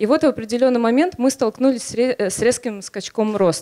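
A woman with a dark, mellow tone against a quiet background. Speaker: head of special projects at a media company. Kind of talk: conference talk. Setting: stage with audience. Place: hall. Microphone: handheld.

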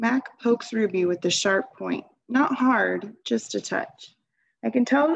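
There is a quiet background behind a natural reading voice.

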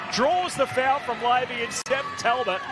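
Over noticeable background noise, a man talks in a raised, projected voice with an animated tone. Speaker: basketball commentator. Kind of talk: live sports commentary on game highlights. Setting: voiceover over game footage. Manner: animated, punchy delivery rising on big shots.

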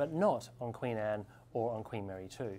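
A dark, mellow tone with ordinary pitch variation comes through over light background noise. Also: man. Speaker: presenter. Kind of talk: presenter commentary to camera. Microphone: lapel.

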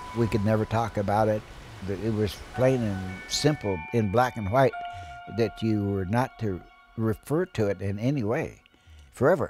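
A fairly low-pitched man at a moderate pace, dry sound with no echo, clear music in the background. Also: ordinary pitch variation. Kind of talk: interview answer. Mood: grave, reflective. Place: home room.

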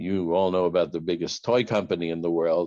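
Low in pitch, a man speaks with a dark, mellow tone. His pace is fairly quick and his intonation fairly even.

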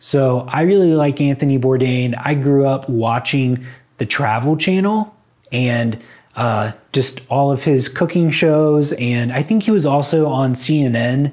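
The background is quiet as a man speaks at a fairly slow pace. His loudness stays very even, and his pitch varies in an ordinary way. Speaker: vlogger. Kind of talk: casual vlog chat. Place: home room. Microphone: lapel.

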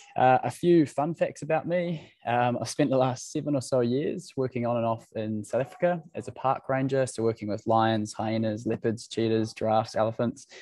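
In a quiet background with a dry sound and no echo, a man with a dark, mellow tone speaks at a moderate pace with ordinary pitch variation and hardly any pauses. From New Zealand, Waikato. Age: 20s. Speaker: startup founder. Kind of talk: presentation. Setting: video call. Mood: friendly, lightly humorous. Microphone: video call.

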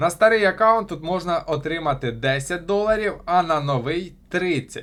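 An ordinary speaking voice from a man at a moderate pace with lively intonation. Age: 20s. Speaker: crypto blogger. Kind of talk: tutorial.

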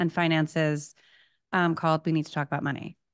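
A woman speaks at a fairly low pitch, her dry voice free of echo against a quiet background. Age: 30s. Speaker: podcast host. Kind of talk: casual chat. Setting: video call. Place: kitchen. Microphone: studio mic.

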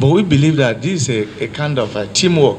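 A man with a Nigerian accent talks with ordinary pitch variation over noticeable background noise. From Niger State, Nigeria. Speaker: deputy state governor, visiting official. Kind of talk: formal official meeting address. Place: meeting room. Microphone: handheld.

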